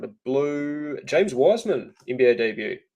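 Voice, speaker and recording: In a New Zealand accent, a man speaks with a dark, mellow tone. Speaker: trading card break host. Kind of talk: live stream card break commentary.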